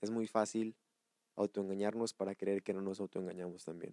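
A man's dark, mellow tone, fairly low in pitch, monotone and flat, with a dry, close sound and no echo. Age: 20s. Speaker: podcast host and wellness therapist. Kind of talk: solo podcast monologue.

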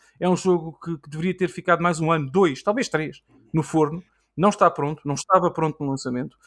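A man's high-pitched voice at a fairly quick pace with big swings in loudness, dry and close with no echo, in a very clean recording over a silent background. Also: ordinary pitch variation. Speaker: gaming podcaster. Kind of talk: casual chat.

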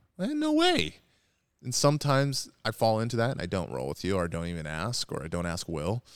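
A fairly low-pitched man talks at a fairly quick pace, his pitch swinging very widely. The recording is very clean, with a silent background. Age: 30s. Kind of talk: casual chat. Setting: gym, seated on mats.

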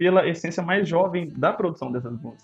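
A man speaks in an unremarkable speaking voice at a fairly quick pace. His pitch varies in an ordinary way. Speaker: podcast co-host. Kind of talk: casual chat.

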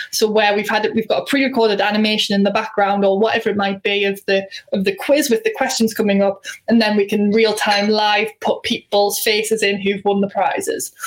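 Through noticeable background noise, a woman's fairly high voice stays monotone and flat, with very even loudness. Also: fairly quick pace. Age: 20s. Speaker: social media company co-founder. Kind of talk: presentation. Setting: live stream.

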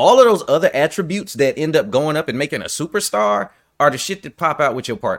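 Delivered at a very fast pace with vocal fry, this voice swings very widely in pitch and greatly in loudness over a very clean recording with a silent background. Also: man, fairly high pitch for a man. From New York. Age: 40s. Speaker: podcast host, military veteran. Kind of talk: casual chat.

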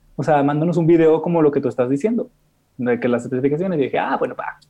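A man is speaking. His tone is dark and mellow. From Mexico, Monterrey. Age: 20s. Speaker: content creator. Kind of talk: interview.

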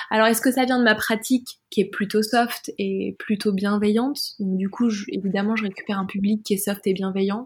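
Fairly quick and somewhat breathy, the voice runs on with hardly any pauses. Its intonation stays fairly even. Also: woman, fairly high pitch for a woman. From France. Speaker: adult audio performer and podcaster. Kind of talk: interview conversation.

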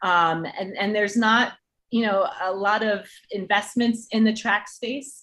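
In an American accent, a woman speaks fairly slowly at a medium pitch, her tone bright and sharp and her intonation fairly even. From New Jersey. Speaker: entertainment partnerships executive and track athlete. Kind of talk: interview.

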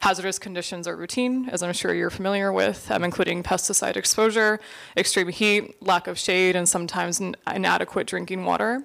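Speaking at a fairly quick pace, a woman with a medium pitch has an ordinary speaking voice. The recording is very clean, with a silent background. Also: ordinary pitch variation. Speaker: interviewer, seminar moderator. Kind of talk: moderated interview with audience. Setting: stage with audience.

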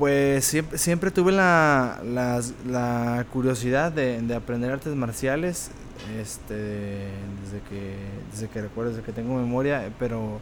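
Audible room echo surrounds a voice moving at a fairly slow pace with ordinary pitch variation. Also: man, medium pitch for a man. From Tepic, Nayarit, Mexico. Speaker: mixed martial arts fighter. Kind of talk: interview. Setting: restaurant. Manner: halting.

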